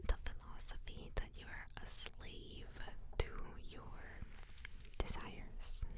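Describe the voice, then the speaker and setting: Whispering at a fairly slow pace. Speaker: psychic medium, ASMR reader. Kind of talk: ASMR full moon card and rune reading. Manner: whispered, soft.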